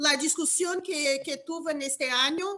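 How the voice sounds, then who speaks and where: A woman with a Portuguese accent, raised and projected voice, bright, sharp tone and fairly slow pace, over a quiet background. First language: Portuguese (speaking Spanish). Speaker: law professor. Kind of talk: academic Q&A question. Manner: halting.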